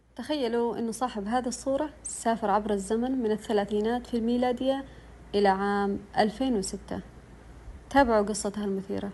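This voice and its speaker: At a moderate pace, the voice sounds somewhat breathy with a dark, mellow tone and fairly even intonation. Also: woman, fairly high pitch for a woman. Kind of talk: true story narration.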